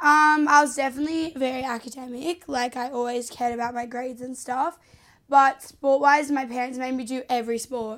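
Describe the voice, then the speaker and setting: Woman's voice, high-pitched, at a fairly quick pace with monotone, flat intonation. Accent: Australian. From Australia, Sydney. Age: 20s. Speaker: reality TV contestant and social media personality. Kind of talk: casual interview.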